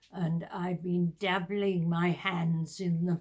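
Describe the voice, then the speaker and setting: A woman speaks at a fairly low pitch in a somewhat breathy voice. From southern England (Hertfordshire). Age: 80s+. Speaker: retired teacher. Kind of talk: casual chat. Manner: halting.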